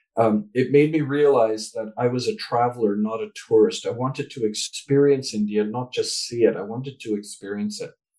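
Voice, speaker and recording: A man with a Canadian accent speaks in a plain, everyday voice at a medium pitch. His pace is moderate, and his pitch variation is ordinary. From Canada. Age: 60s. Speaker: author and speaker. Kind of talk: interview.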